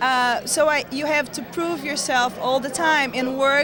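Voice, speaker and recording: Over noticeable background noise and audible room echo, a woman with a high pitch talks at a fairly slow pace. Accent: Portuguese. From Brazil, small town. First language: Portuguese. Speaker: actress. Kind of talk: interview. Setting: convention hotel, on location.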